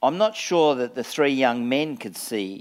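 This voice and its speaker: A man talks at a moderate pace in an Australian accent. The recording is very clean, with a silent background. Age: 60s. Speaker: pastor. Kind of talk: sermon. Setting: church.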